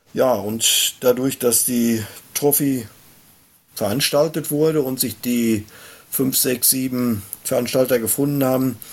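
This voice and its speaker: With a plain, everyday voice, a man talks at a fairly slow pace and with fairly even intonation. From Germany, Hochsauerland (Sauerland). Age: 50s. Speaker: sports club chairman and race organizer. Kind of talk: casual chat.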